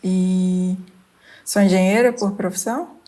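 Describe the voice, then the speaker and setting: This woman's voice sits at a medium pitch with a dark, mellow tone. It comes across as somewhat breathy. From Minas Gerais, Brazil. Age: 30s. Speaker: engineer, podcast guest. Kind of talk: podcast interview.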